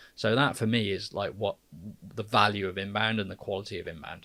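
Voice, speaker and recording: In a very clean recording with a silent background, a man with an English accent speaks at a very fast pace. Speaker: podcast co-host, marketer. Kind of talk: casual podcast conversation. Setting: studio.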